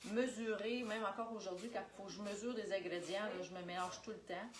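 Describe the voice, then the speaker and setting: In a Quebec accent, a woman speaks at a fairly quick pace with a medium pitch and fairly even intonation, amid noticeable background noise and audible room echo. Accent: Québécois French. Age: 40s. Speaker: Tupperware sales consultant. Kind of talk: live cooking demonstration. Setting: livestream.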